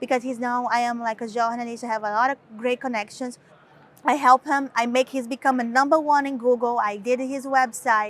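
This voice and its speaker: A woman with a strong Brazilian accent speaks at a high pitch and a fairly quick pace, her intonation monotone and flat. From Brazil, Recife. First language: Portuguese. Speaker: model and author. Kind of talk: interview. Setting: London fashion week shoot, two cameras. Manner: halting, many fillers.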